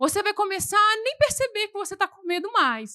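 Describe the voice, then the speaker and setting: Projecting a raised voice at a moderate pace, a woman sounds animated and bright, with a sharp tone in a dry, close recording with no echo. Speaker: preacher. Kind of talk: sermon. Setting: church.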